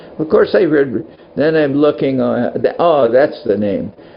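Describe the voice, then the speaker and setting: A man keeps a moderate pace while noticeable background noise continues behind him. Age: 70s. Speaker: monk and spiritual teacher. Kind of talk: casual talk to devotees. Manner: halting.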